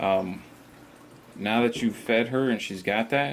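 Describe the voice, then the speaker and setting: A man with a fairly low pitch and ordinary pitch variation speaks with vocal fry. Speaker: reptile keeper, channel host. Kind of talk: tutorial. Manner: casual; talking low.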